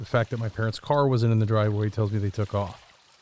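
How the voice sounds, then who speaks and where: Amid noticeable background noise, a man with a fairly low pitch talks at a fairly quick pace in a monotone, flat intonation. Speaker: audio drama narrator actor. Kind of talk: scripted first-person audio drama narration.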